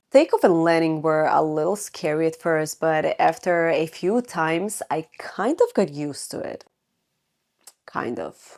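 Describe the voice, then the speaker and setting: Fairly slow speech in a Croatian accent, ordinary pitch variation and big swings in loudness, in a very clean recording with a silent background. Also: woman, fairly low pitch for a woman. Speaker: lifestyle vlogger. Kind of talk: personal storytelling to camera.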